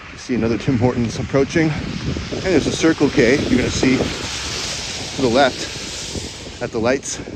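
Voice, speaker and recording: Against noticeable background noise, a man at medium pitch speaks at a moderate pace with fairly even intonation. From Canada. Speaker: live streamer. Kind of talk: casual live-stream walking vlog. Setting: outdoors walking in snow.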